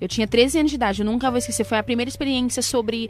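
A woman is speaking at a very fast pace. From São Paulo, Brazil. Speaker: gospel singer. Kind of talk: casual chat.

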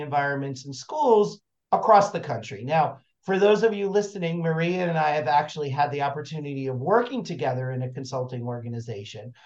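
Here is a man with a normal speaking voice. It sits fairly high and carries lively intonation. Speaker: podcast host. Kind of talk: interview, scripted intro.

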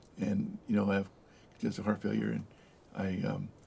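A man speaks with a Southern California accent. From US West, Los Angeles area (El Monte). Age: 60s. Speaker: former mayor and business owner. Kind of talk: interview conversation.

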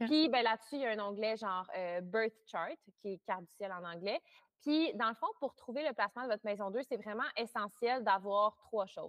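Speaking at a moderate pace, a woman uses a normal speaking voice with fairly high pitch and ordinary pitch variation. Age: 20s. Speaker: astrologer. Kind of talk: interview.

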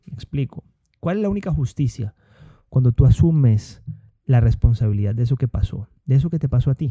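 A man of medium pitch speaks with lively intonation and a somewhat breathy sound. The audio is dry and close, with no echo. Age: 30s. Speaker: podcast host, entrepreneur. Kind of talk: motivational monologue. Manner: hesitant with filler words and repetitions.

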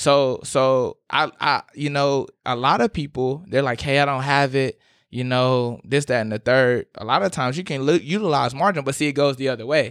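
An unremarkable speaking voice: a man with an American accent at a fairly high pitch, moderate pace and ordinary pitch variation, with hardly any pauses. The sound is dry and close with no echo, over a quiet background. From South Carolina, Aiken. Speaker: financial advisor. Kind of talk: casual chat. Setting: studio.

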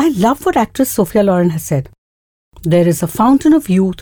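Somewhat breathy and dark, mellow in tone, the voice carries lively intonation. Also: woman. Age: 60s. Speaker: podcast host. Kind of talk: monologue.

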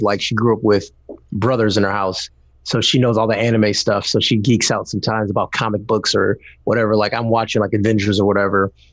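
In an American accent, a man with a fairly low pitch speaks at a very fast pace against a quiet background. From Detroit, Michigan. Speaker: tech YouTuber. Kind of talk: casual interview chat.

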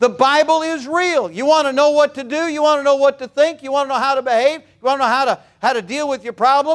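A man's extremely high pitch with ordinary pitch variation and an animated tone. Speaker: preacher. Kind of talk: sermon. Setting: church. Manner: animated, loud, call-and-response; emphatic, repeating phrases for punch.

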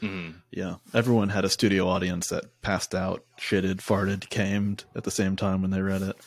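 The recording is very clean with a silent background, and the delivery is monotone and flat at a moderate pace. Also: man, very deep, low pitch for a man. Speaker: podcast host. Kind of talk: casual chat. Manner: laughs often, joking.

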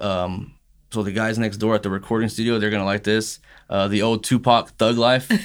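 A fairly low-pitched man at a fairly quick pace with monotone, flat intonation, in a very clean recording with a silent background. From Texas (Ennis). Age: 30s. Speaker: small business owner. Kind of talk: casual interview.

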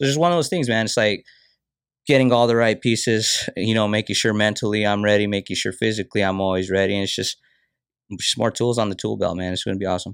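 The recording is very clean, with a silent background. A man speaks very fast at a fairly low pitch with ordinary pitch variation. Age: 30s. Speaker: professional fighter. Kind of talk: casual chat.

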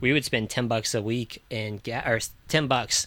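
A man's medium-pitched, ordinary speaking voice, moderate in pace with fairly even intonation. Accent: American. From Virginia Beach, Virginia, US. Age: 20s. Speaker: former tire shop manager turned traveler. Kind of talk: casual chat. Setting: converted school bus.

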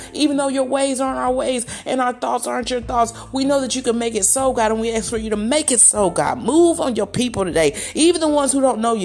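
A woman speaks fairly quickly at a high pitch in a warm tone with lively intonation. Background noise is noticeable. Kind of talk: fervent prayer, spoken aloud as a heartfelt petition to God. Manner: earnest, preacherly cadence, warm and declarative.

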